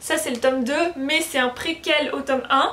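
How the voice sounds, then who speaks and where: Background noise is noticeable. A woman talks over it. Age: 20s. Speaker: book YouTuber. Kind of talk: casual vlog talk. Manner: casual, hesitant with fillers.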